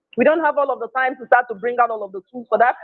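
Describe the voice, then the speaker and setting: A man speaks with a Nigerian accent. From Nigeria (Igbo). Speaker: emotional intelligence speaker. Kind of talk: motivational talk. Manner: emphatic, repetitive.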